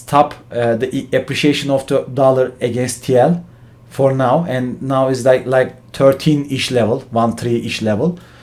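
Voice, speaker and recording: Speaking at a fairly slow pace with hardly any pauses, a man with a Turkish accent keeps a medium pitch and fairly even intonation. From Turkey. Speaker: finance professional, channel host. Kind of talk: explainer talk to camera. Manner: halting, many fillers.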